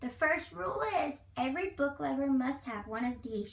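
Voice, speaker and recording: A woman uses a put-on character voice at a high pitch, with very wide pitch swings. She keeps a moderate pace over light background noise. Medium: read story.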